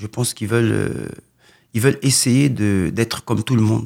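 A man talks at a fairly slow pace in an ordinary speaking voice, pitched fairly low with ordinary pitch variation. The recording is very clean, with a silent background. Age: 40s. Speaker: boxing coach. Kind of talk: radio interview.

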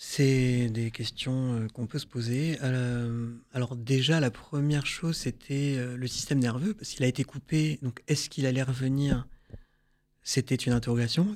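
The man talks at a fairly slow pace. His medium pitch shows ordinary variation. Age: 30s. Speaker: burn survivor and prevention speaker. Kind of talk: testimony. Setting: studio. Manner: hesitant.

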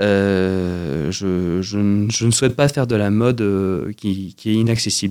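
On a very clean recording with a silent background, a man with a fairly low pitch and a dark, mellow tone speaks at a very slow pace, his loudness very even and his pitch varying in an ordinary way. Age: 20s. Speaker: fashion designer. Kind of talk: radio interview. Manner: halting, many repetitions.

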